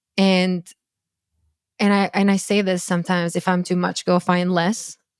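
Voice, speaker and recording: A woman with a Croatian accent at a moderate pace, monotone and flat, dry and close with no echo, in a very clean recording with a silent background. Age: 30s. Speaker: dating coach and content creator. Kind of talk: podcast interview. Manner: halting, many false starts.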